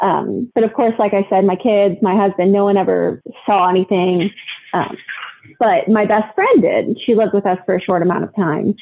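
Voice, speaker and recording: With an American accent, a woman of medium pitch talks at a moderate pace and very even loudness over noticeable background noise. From US Midwest (Ohio). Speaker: podcast guest sharing ghost story. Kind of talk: casual interview, personal story. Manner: hesitant, many fillers.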